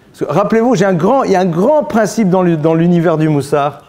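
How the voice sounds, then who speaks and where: A man with a high voice talks at a fairly quick clip, his intonation lively, with audible echo from the room. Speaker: rabbi teaching a Torah class. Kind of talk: religious lecture. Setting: synagogue. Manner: blunt, informal.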